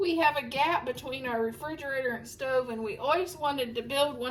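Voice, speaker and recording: Speaking with an American accent, a woman uses a high pitch, ordinary pitch variation, and a moderate pace. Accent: Ohio accent, noted by a viewer. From Ohio. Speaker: home cleaning vlogger. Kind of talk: casual vlog tutorial. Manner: casual, halting with restarts.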